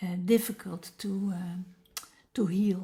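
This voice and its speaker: A woman's dark, mellow, somewhat breathy voice at medium pitch, with a Dutch accent, monotone and flat, at a very slow pace. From Netherlands. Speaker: meditation teacher. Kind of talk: personal introduction talk. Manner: halting, many fillers.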